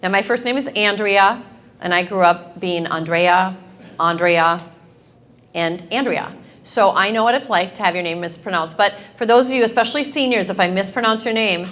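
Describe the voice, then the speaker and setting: A woman speaks at medium pitch with ordinary pitch variation. Her pace is moderate. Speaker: high school principal. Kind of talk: award ceremony speech. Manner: loud.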